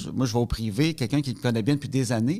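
The man's voice sits at a medium pitch. He talks at a very fast pace. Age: 40s. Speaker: comedian and spousal caregiver. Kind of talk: testimony.

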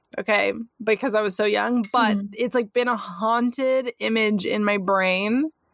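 With very even loudness and fairly even intonation, a woman talks at a moderate pace in an ordinary speaking voice pitched fairly high. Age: 30s. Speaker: podcast co-host. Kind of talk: casual chat.

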